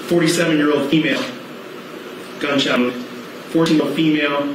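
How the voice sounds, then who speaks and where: The man talks at a fairly slow pace. Room echo is audible, along with noticeable background noise. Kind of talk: formal testimony read aloud. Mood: flat, somber, measured. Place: hall. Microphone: podium.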